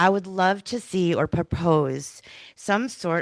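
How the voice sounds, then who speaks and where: A woman speaks at a very slow pace, her pitch fairly low with ordinary variation. The sound is dry and close, with no echo. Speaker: public commenter, local business owner. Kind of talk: public comment at township meeting. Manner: loud.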